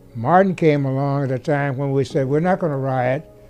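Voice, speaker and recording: Faint music plays behind a man who talks at a moderate pace in a fairly high pitch. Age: 80s+. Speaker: friend of a civil rights leader; interviewee. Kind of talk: interview reminiscence. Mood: reflective, earnest. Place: home room.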